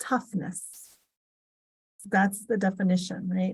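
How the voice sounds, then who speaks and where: With an American accent, a woman sounds somewhat breathy. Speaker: finance technology executive. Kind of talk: interview talk on leadership.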